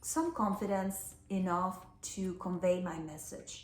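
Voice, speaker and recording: A woman with a non-native accent speaks at a fairly low pitch. Audible room echo surrounds her voice. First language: Spanish. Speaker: life coach. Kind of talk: personal talk to camera.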